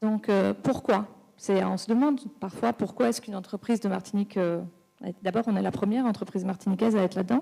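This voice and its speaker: A woman talks very fast at a medium pitch, with ordinary pitch variation and a dark, mellow tone. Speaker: business executive in clean mobility. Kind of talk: round table panel talk. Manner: hesitant, repeats words.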